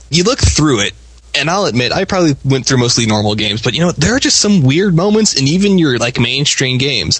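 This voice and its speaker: Over noticeable background noise, a man talks at a very fast pace in a fairly high pitch, with very wide pitch swings and very even loudness. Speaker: co-host. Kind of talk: casual banter.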